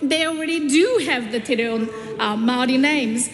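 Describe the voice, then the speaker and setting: Speaking at a fairly quick pace with a high pitch, a woman is heard amid audible room echo and noticeable background noise. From South Korea. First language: Korean. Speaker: politician. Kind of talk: parliamentary speech. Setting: parliament chamber. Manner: halting.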